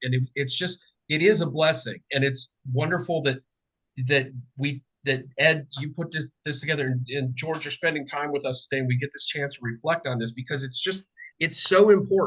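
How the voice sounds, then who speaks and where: This man's voice has a fairly high pitch and ordinary pitch variation. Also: fairly quick pace. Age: 60s. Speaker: political writer. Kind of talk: casual chat. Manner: halting.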